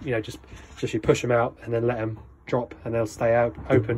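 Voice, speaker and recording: A man's fairly quick speech over light background noise. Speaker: motorhome seller giving handover. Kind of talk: tutorial. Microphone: phone near.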